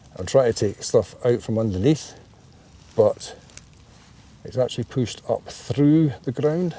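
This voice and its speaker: Here a man speaks with a Scottish accent. His intonation is lively. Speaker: hobby photographer. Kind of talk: casual vlog talk to camera. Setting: outdoors, woodland. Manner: slow, unhurried.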